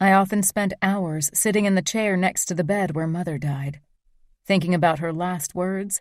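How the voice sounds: Over a quiet background, the voice reads in a natural way.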